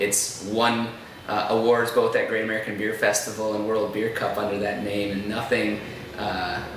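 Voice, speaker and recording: Amid noticeable background noise and audible room echo, a man speaks at a fairly slow pace with a fairly low pitch and monotone, flat intonation. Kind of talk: interview answer. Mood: amused, relaxed. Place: bar.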